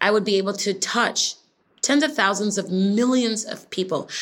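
A woman uses an ordinary speaking voice at a medium pitch, moderate pace and ordinary pitch variation. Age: 30s. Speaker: fitness instructor and makeup artist. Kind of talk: interview.

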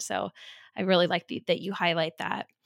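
On a very clean recording with a silent background, a woman speaks in a normal speaking voice at medium pitch and a fairly quick pace, with fairly even intonation and a dry, close sound with no echo. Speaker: podcast host. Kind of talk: casual interview chat.

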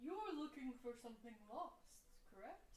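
A female-sounding, high-pitched put-on character voice speaks at a moderate pace over clear background noise. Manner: disgruntled, cryptic.

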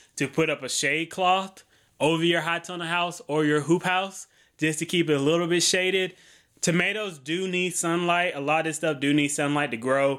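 A high-pitched man with an American accent and a bright, sharp tone, at a moderate pace with fairly even intonation, on a very clean recording with a silent background. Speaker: farm podcast host. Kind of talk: educational talk with casual tone. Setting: home recording. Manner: casual, joking.

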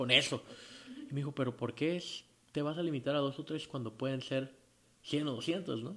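Here is a normal speaking voice. It goes at a moderate pace. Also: man. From Tijuana, Baja California, Mexico. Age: 30s. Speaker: rock band singer. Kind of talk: casual interview.

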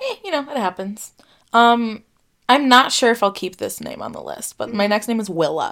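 A woman with an ordinary speaking voice talks at a moderate pace, with a fairly high pitch, ordinary pitch variation and big swings in loudness. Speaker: podcast co-host. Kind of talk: casual chat. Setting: video call.

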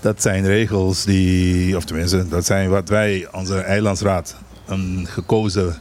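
Over noticeable background noise, a man with a very deep, low voice talks at a fairly slow pace. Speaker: island governor. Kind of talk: radio interview.

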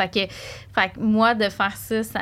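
Her intonation is fairly even. The woman talks at a fairly slow pace. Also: very clean recording, silent background. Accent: Quebec. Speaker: shop owner. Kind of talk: casual chat. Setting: studio.

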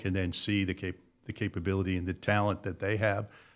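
A man speaks at a fairly quick pace with a fairly low pitch and fairly even intonation, in an American accent. The recording is very clean, with a silent background. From Connecticut, US Northeast. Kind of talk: interview. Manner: casual, halting with fillers.

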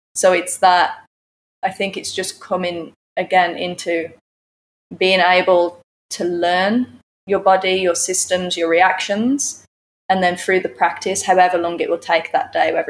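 A woman talks in a normal speaking voice at a moderate pace. Her pitch is medium, and her intonation is fairly even. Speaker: yoga teacher. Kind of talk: casual live interview. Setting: live studio.

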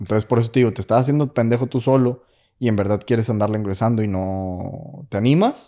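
This man talks at a very fast pace with a medium pitch and ordinary pitch variation. His tone is dark and mellow, and the recording is very clean with a silent background. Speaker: engineer working in the US. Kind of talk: casual chat.

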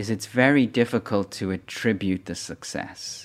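The speaker is a man with a Dublin accent. He talks fairly slowly at a fairly low pitch. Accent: Irish (Dublin). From Ireland, Dublin. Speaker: foundation chief executive. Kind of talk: interview. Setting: studio. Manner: halting, many repetitions.

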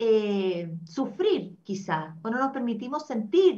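Her voice is somewhat breathy, and this woman speaks at a fairly high pitch. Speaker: talk show host. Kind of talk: casual chat. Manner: animated.

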